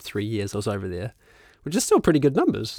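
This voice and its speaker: In a very clean recording with a silent background, a man speaks with a New Zealand accent. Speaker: filmmaker and musician. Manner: relaxed, casual, filler-heavy.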